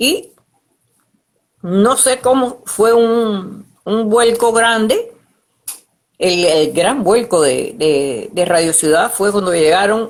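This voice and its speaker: Lively intonation marks this woman's medium-pitched voice. She speaks at a very slow pace with long, frequent pauses. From Cuba. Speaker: radio announcer. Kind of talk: interview answer.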